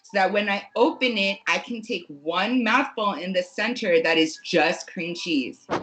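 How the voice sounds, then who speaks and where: A woman with a medium pitch speaks in an animated tone at a fairly slow pace, with hardly any pauses. Noticeable background noise runs behind her. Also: lively intonation, big swings in loudness. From New Jersey. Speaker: podcast guest. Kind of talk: casual chat.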